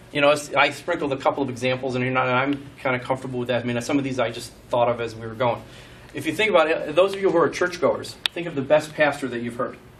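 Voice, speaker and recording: Noticeable background noise sits behind a man talking at a very fast pace. His medium-pitched voice shows ordinary pitch variation. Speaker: startup investor and presenter. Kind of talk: presentation.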